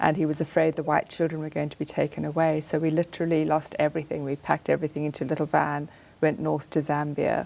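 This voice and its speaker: Very fast and monotone, with flat intonation and vocal fry, a woman with a very deep, low pitch and an American accent speaks in a very clean recording with a silent background. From Zimbabwe. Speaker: artist and author. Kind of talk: radio interview. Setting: studio.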